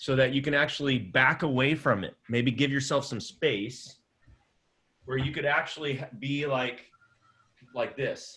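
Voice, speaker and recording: Loud and bright with a sharp tone, a man speaks fairly slowly with fairly even intonation and long, frequent pauses. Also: fairly high pitch for a man. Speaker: improv teacher. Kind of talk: online class. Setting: video call. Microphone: external microphone, not laptop mic.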